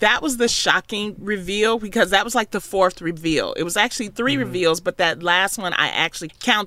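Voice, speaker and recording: With a bright, sharp tone and an American accent, a woman talks at a fairly quick pace. She uses lively intonation and hardly any pauses. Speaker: podcast co-host and radio host. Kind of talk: casual chat.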